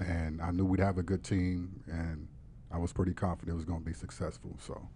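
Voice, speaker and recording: In an American accent, a man with a very deep, low pitch and a dark, mellow tone speaks at a moderate pace, somewhat breathy and with fairly even intonation. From Warren, Ohio. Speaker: podcast producer. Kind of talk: casual interview. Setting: studio.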